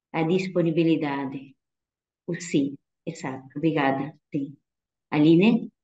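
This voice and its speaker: With a Spanish accent, a woman speaks at a fairly slow pace with long, frequent pauses, her very deep, low pitch varying in an ordinary way and her tone dark and mellow. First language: Spanish (speaking Portuguese). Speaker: religious sister. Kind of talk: talk answering questions in an online vocational event.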